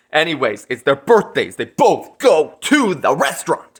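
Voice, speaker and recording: A man with vocal fry speaks in an animated, bright, sharp tone with lively intonation. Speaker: movie reviewer. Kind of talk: casual vlog review. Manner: loud.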